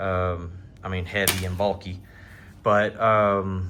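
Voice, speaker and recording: A man with a strong Southern US accent speaks at a very deep, low pitch, his bright, sharp tone carried by fairly even intonation. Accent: thick Southern. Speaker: outdoors vlogger. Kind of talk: casual gear walkthrough vlog. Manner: casual, hesitant with many fillers.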